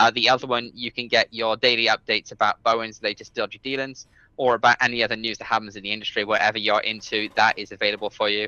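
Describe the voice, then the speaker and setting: A man with a British accent talks at a very fast pace in a monotone, flat delivery, with hardly any pauses. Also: medium pitch for a man. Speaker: podcast co-host. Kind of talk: casual chat.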